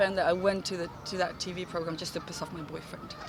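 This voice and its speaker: A woman's speech carries audible room echo, with noticeable noise behind it. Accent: Kosovar. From Kosovo. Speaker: actress. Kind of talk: casual interview. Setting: outdoors in a park. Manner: halting, many false starts.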